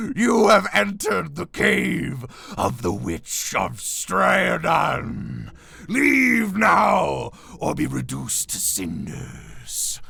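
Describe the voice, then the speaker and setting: Over light background noise, a man puts on a character voice and speaks at a very slow pace. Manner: menacing.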